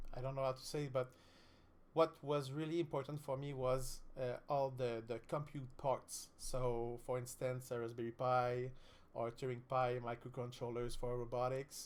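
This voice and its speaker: A man with a Quebec accent at a medium pitch, monotone and flat, at a moderate pace. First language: French. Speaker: streamer, student. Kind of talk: live-stream tutorial. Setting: live stream. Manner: halting, many fillers.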